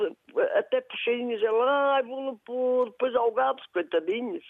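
With ordinary variation in her pitch, a woman talks in a high register for a woman. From Portugal, Castro Daire (Viseu district). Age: 50s. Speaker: shop owner and regional sweets baker. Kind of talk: casual chat.

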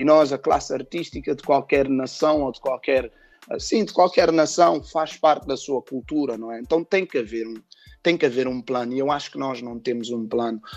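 A plain, everyday voice moves at a moderate pace with ordinary pitch variation and big swings in loudness, over a quiet background. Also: man, medium pitch for a man. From Portugal, Cape Verdean family. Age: 30s. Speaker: rapper and music producer. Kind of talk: interview.

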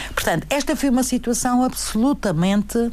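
With noticeable background noise around her, a woman talks at a moderate pace in a fairly high voice. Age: 70s. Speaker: retired teacher and former politician. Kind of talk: radio interview. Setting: radio studio. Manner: halting.

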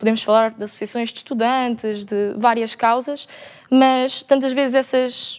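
A woman with a high voice speaks fairly slowly in a flat monotone, her loudness swinging widely. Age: 20s. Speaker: student and interpreter. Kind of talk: panel debate.

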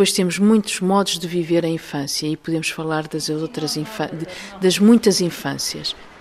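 Amid noticeable background noise, a woman with a fairly low pitch speaks at a moderate pace with ordinary pitch variation. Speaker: researcher. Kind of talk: interview. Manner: hesitant, with fillers.

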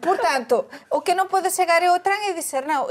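A woman is speaking. She has a Galician accent. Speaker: journalist. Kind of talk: panel discussion.

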